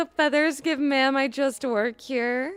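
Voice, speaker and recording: Fairly slow speech comes in a put-on character voice. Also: female-sounding voice. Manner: bored.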